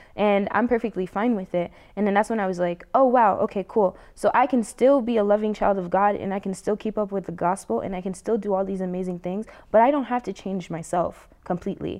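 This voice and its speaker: Here a woman has a plain, everyday voice at a medium pitch with ordinary pitch variation. She speaks with hardly any pauses. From New Jersey. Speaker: college student, church convert. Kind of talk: interview testimony.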